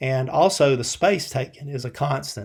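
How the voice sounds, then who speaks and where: A man with a South Carolina accent at a moderate pace with ordinary pitch variation, in a very clean recording with a silent background. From US South, Columbia, South Carolina. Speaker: programming instructor. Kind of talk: lecture. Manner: casual, many filler words and repetitions.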